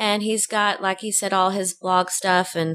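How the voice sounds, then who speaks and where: A woman with an American accent, medium-pitched and bright, sharp in tone, at a fairly slow pace with fairly even intonation. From Texas. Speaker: podcast co-host. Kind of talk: casual chat.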